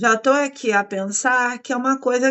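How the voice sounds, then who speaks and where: A woman with a Brazilian accent speaks at a high pitch and a fairly slow pace. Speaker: podcast host. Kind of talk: interview.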